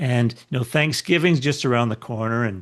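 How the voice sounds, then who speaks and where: A man with medium pitch speaks with ordinary pitch variation. The background is quiet. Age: 60s. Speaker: podcast host. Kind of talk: interview conversation. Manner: halting, many repeated words.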